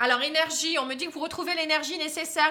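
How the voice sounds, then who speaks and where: A woman speaks at a very fast pace in a raised, projected voice. Her tone is bright and sharp. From northern France, Pas-de-Calais. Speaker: tarot card reader. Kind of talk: casual aside; tarot reading monologue to camera. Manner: hesitant, many fillers.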